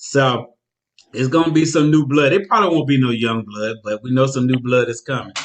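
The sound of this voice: Here a man speaks at medium pitch with ordinary pitch variation.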